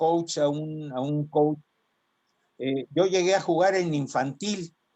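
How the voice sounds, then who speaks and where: The speaker is a man with a fairly high pitch and ordinary pitch variation. He goes at a very slow pace. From Mexico City. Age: 70s. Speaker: former college football player. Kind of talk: interview. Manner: halting, many fillers and repetitions.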